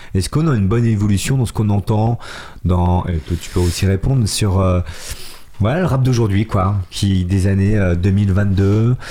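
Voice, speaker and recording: Somewhat breathy and dark, mellow in tone, a man speaks at a fairly low pitch and moderate pace with ordinary pitch variation. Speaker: radio host. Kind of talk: casual radio interview. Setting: radio studio.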